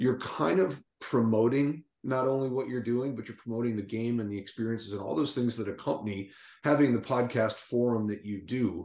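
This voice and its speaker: With an American accent, a man speaks at a fairly quick pace in an unremarkable speaking voice, his pitch medium and its variation ordinary. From southern Minnesota, US. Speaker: golf director and podcast co-host. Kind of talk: casual interview chat.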